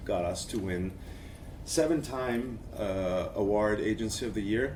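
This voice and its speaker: A man speaks at a fairly low pitch and a fairly slow pace. The room echo is audible. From Quebec, Montreal. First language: French. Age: 40s. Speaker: agency creative director, conference speaker. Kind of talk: conference talk. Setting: stage with audience.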